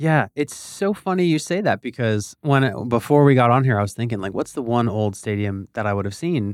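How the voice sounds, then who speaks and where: In an ordinary speaking voice, a man at medium pitch talks at a moderate pace with an American accent and lively intonation. The recording is very clean with a silent background and a dry, close sound with no echo. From eastern Pennsylvania, Bethlehem. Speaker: podcast host. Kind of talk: casual chat.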